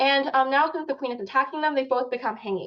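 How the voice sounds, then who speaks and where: A woman talks at a fairly quick pace. Her pitch is high, with ordinary variation. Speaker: chess teacher. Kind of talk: online lecture. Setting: video call. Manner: fast.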